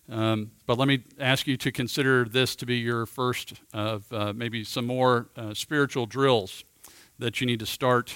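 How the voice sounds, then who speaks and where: Recorded with a dry, close sound and no echo, a man with an ordinary speaking voice talks at a medium pitch and a fairly slow pace with fairly even intonation. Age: 50s. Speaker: men's ministry teacher. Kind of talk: teaching talk.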